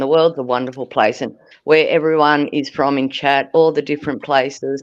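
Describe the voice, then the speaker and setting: Over a quiet background, a woman with an Australian accent talks at a fairly quick pace. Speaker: livestream panelist. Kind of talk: casual chat. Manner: animated.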